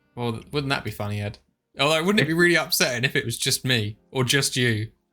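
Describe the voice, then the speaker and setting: In a very clean recording with a silent background, a man with a British accent talks at a very fast pace with a bright, sharp tone and lively intonation. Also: medium pitch for a man. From UK. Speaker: airsoft channel host. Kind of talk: casual chat. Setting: live stream.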